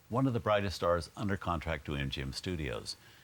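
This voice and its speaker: A man talks at a very fast pace with vocal fry. His pitch swings very widely. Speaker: film host. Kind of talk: TV introduction.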